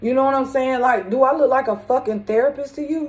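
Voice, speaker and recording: Her pitch varying in an ordinary way, a woman speaks. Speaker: spiritual medium vlogger. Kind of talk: casual monologue. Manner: loud.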